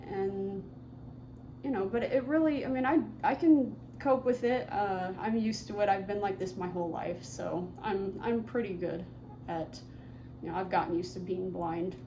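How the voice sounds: A woman speaks at medium pitch and a moderate pace. Her pitch variation is ordinary.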